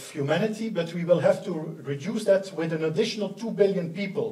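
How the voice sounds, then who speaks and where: In a room with audible echo, a man speaks at a high pitch and a moderate pace. His intonation stays fairly even. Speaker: conference presenter. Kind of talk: lecture. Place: hall.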